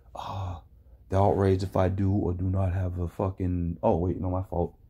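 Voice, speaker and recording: Dark and mellow in tone, a man's voice comes across somewhat breathy. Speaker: reaction video commentator. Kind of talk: reaction commentary. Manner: animated.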